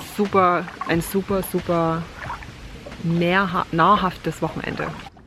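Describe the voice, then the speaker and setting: Over music in the background, a woman speaks at a very slow pace with a fairly low pitch and monotone, flat intonation. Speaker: vlogger. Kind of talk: casual vlog talk. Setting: outdoors by the water, rain starting.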